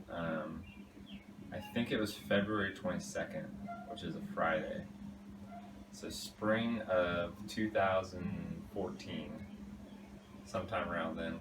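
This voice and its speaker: Someone mumbles at a very slow pace, with ordinary pitch variation. Noticeable background noise and audible room echo fill the recording. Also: man. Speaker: fiancé answering couple questions. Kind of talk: casual vlog. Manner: mumbling; halting.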